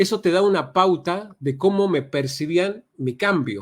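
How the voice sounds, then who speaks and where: Speaking very slowly, a man uses a high pitch with very wide swings, heard on a very clean recording with a silent background. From Argentina. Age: 60s. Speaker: NLP trainer. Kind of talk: podcast interview. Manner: hesitant, many fillers.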